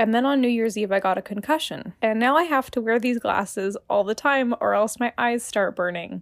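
In an unremarkable speaking voice, a woman talks at a fairly quick pace with hardly any pauses, her pitch fairly high with ordinary variation, and the sound is dry and close with no echo. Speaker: podcast listener. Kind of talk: recorded voice message anecdote.

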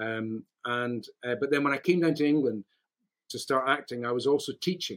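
With a Scottish accent, a man of medium pitch talks at a moderate pace with ordinary pitch variation and a dry, close sound with no echo. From Scotland. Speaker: actor and voiceover artist. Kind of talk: casual interview chat. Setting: video call.

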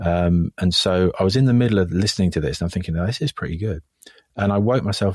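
In a dry, close sound with no echo, a man with a very deep, low pitch talks at a very fast pace with ordinary pitch variation. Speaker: film composer. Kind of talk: casual interview chat. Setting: remote call.

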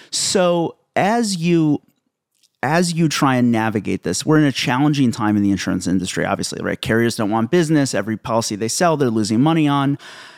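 A man at medium pitch and a fairly quick pace, with very wide pitch swings, dry and close with no echo, in a very clean recording over a silent background. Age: 30s. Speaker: podcast host. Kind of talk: interview.

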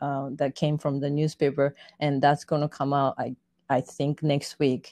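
Speaking in a Japanese accent, a woman has a very deep, low pitch and a dark, mellow tone, recorded with a dry, close sound with no echo against a quiet background. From Japan, Yokohama. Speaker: fashion model and artist. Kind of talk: interview.

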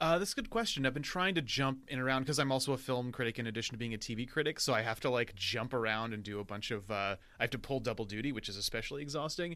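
On a very clean recording with a silent background, a man with a medium pitch and a bright, sharp tone talks at a very fast pace with ordinary pitch variation and hardly any pauses. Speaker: film critic. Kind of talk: casual chat. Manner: stammering.

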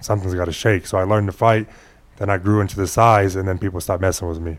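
Speaking at a very fast pace, a man with a very deep, low pitch keeps his intonation fairly even in a very clean recording with a silent background. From Phoenix, Arizona. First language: Spanish. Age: 20s. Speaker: professional boxer. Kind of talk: interview. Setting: studio.

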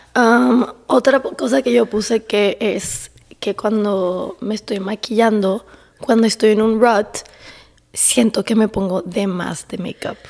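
Talking at a very slow pace, a woman uses a fairly high pitch with ordinary pitch variation. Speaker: podcast co-host. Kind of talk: casual chat. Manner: quiet, speaking very softly.

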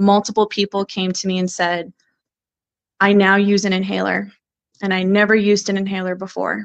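A woman's medium-pitched, monotone voice with flat intonation and long, frequent pauses, in a dry, close sound with no echo. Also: fairly quick pace. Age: 20s. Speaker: union organizer, former cannabis worker. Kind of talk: interview.

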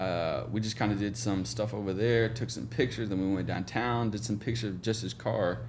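A man's fairly low voice with vocal fry, in an American accent, with fairly even intonation and audible room echo. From Oklahoma, small town near Tulsa. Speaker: photographer. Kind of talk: casual interview chat.

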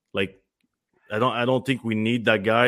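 This man's voice sits at a medium pitch and moves at a moderate pace. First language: French. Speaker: former hockey player. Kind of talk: casual sports talk.

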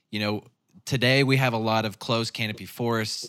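Recorded very cleanly against a silent background, a man talks at a fairly quick pace in a fairly low voice with a bright, sharp tone and fairly even intonation. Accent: Ozark. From Arkansas (Northwest, Ozarks). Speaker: podcast host. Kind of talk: interview conversation. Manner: casual.

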